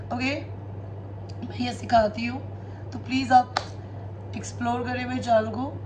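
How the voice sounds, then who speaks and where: Noticeable background noise surrounds a woman's very deep, low voice. Her intonation is fairly even. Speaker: tarot reader. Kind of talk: casual chat to viewers, spiritual advice. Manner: code-switching Hindi and English.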